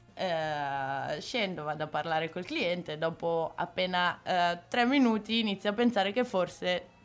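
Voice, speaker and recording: Lively intonation marks this woman's fairly low voice. She talks at a moderate pace with music playing behind her. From Milan outskirts, northern Italy. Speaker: tattoo artist. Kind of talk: interview.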